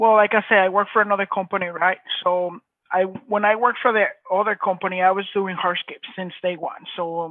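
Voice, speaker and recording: A man speaks in a strong Mexican accent with a high pitch. His intonation is monotone and flat. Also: fairly quick pace. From Mexico. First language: Spanish. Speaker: hardscape business owner. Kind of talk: interview.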